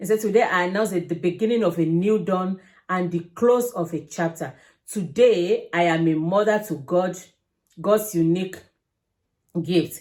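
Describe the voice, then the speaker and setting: This woman talks at a fairly slow pace with lively intonation. Her pitch sits fairly low for a woman. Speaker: vlogger. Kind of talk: casual commentary.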